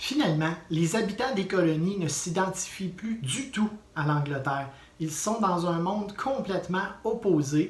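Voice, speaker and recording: The speaker has a Quebec accent. The pace is fairly slow. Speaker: history teacher. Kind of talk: educational video lesson. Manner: animated.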